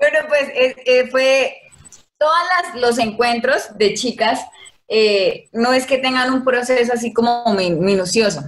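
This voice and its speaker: A woman's high-pitched voice at a very slow pace, very even in loudness. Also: ordinary pitch variation. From Colombia, Casanare (eastern plains). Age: 20s. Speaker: environmental engineer, dancer and model. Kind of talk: casual chat.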